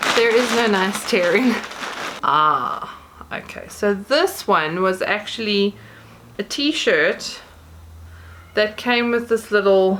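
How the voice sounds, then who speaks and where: Noticeable background noise sits under a woman's fairly high voice as she speaks very slowly with long, frequent pauses. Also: ordinary pitch variation. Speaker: YouTuber. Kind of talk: unboxing haul video. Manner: casual, chatty with hesitations.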